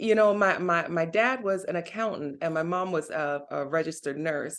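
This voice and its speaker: This woman has an unremarkable speaking voice. She talks at a moderate pace with lively intonation. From Jamaica, moved to US at ten. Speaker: vegan recipe creator. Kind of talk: casual interview chat.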